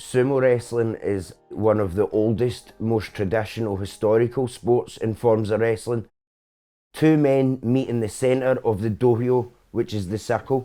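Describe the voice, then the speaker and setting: The tone is dark and mellow, with fairly even intonation at a fairly slow pace. The recording is very clean, with a silent background. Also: man, medium pitch for a man. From Scotland, Coatbridge (Lanarkshire). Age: 30s. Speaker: sumo club president and coach. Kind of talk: documentary interview.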